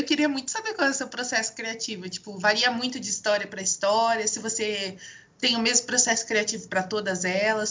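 A woman talks with a fairly high pitch. There is noticeable background noise behind her. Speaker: podcast co-host. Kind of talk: casual chat.

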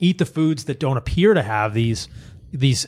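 A man speaks fairly quickly in a medium-pitched, somewhat breathy voice with an animated tone. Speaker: podcast host. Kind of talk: casual interview chat. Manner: animated, excitable.

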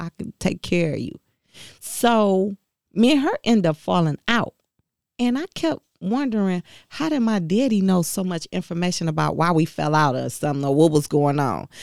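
In a very clean recording with a silent background and a dry, close sound with no echo, a woman with an American accent speaks at a moderate pace in a fairly low pitch. It is an ordinary speaking voice, with lively intonation. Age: 40s. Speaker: auto worker and union rep. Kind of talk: interview testimony.

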